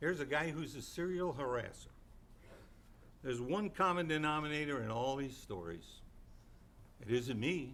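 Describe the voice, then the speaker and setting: A fairly high-pitched male voice with lively intonation, a moderate pace and long, frequent pauses, plus audible room echo. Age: 70s. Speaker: city council member. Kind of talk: public statement at council meeting. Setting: city council chamber. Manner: indignant, emphatic.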